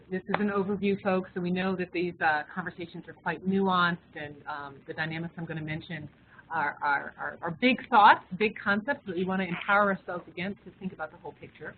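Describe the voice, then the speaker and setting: A woman's medium-pitched voice with an American accent, fairly quick and with hardly any pauses, ordinary pitch variation and noticeable background noise. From Washington, D.C. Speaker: diversity consultant, webinar facilitator. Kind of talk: webinar presentation. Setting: webinar, in a room with colleagues. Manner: hesitant, many repetitions and fillers.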